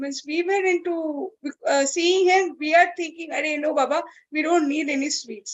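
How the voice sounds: A woman's high pitch at a moderate pace, with ordinary pitch variation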